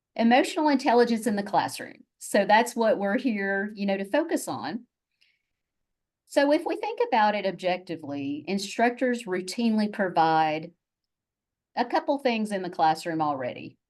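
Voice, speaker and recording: A woman with a Southern US accent talks at medium pitch and a moderate pace. Her pitch swings very widely against a quiet background. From US South, Chattanooga, Tennessee. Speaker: university faculty member, presenter. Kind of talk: webinar presentation.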